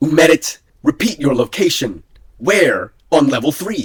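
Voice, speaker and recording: A man does a put-on character voice at a fairly high pitch with lively intonation. The sound is dry and close, with no echo. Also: moderate pace. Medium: read story. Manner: steady, calm under pressure.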